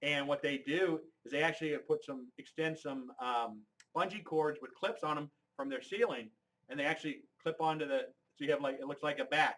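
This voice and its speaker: A man speaks at a fairly quick pace, fairly high in pitch, with ordinary pitch variation. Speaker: embroidery equipment sales demonstrator. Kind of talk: live webinar product demonstration. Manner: loud; animated.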